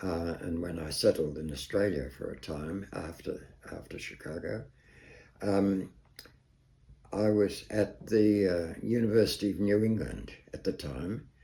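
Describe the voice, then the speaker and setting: Speaking at a fairly slow pace with long, frequent pauses, a man with a very deep, low pitch and a dark, mellow tone sounds somewhat breathy, his loudness swinging widely. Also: ordinary pitch variation. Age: 80s+. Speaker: psychologist. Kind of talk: interview answer. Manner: hesitant, halting.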